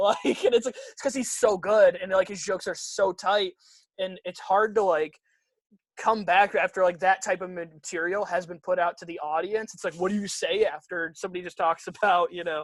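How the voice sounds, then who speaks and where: With a Michigan accent, a man speaks at a high pitch with fairly even intonation and big swings in loudness, in a dry, close sound with no echo. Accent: Midwestern American (Michigan). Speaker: stand-up comedian. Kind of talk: casual chat. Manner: fast.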